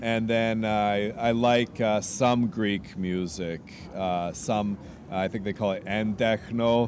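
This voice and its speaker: A man with a Canadian accent speaks very slowly at a fairly low pitch, his intonation fairly even. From Canada, Vancouver. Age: 30s. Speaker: street musician. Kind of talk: interview. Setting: outdoors on the street. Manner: halting, many repeated words.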